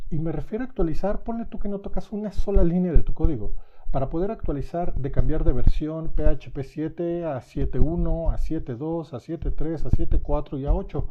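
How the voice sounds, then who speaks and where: Talking at a fairly quick pace with hardly any pauses, a man with a fairly high pitch and a dark, mellow tone uses lively intonation and big swings in loudness. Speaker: software developer giving a tech talk. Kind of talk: technical presentation.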